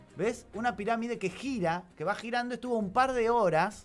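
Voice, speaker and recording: A man is talking. His voice sits high in pitch. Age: 40s. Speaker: radio host. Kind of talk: casual chat. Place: studio. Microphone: studio mic.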